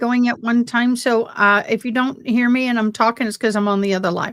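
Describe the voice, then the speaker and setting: A woman speaks in an unremarkable speaking voice at a fairly high pitch and a fairly quick pace, with ordinary pitch variation. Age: 50s. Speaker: deaf courtroom commentator livestreamer. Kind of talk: casual live commentary. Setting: livestream, two lives at once.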